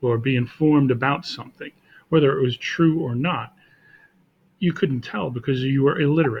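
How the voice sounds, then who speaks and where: A man speaks at a fairly high pitch and a moderate pace, somewhat breathy. He leaves long, frequent pauses. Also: ordinary pitch variation. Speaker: teacher. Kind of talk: classroom lecture, casual talk to camera.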